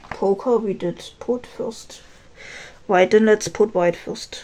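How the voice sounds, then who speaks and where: A woman talks at a very slow pace with a German accent. Noticeable background noise runs underneath. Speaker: K-pop collector vlogger. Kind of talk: casual chat while organizing photocards. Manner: halting.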